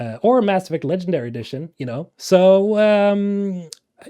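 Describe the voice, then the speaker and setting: On a very clean recording with a silent background, a man's dark, mellow voice makes very wide pitch swings in a dry, close sound with no echo. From Sweden. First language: Swedish. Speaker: gaming YouTuber. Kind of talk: casual talking-head commentary. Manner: casual, many filler words.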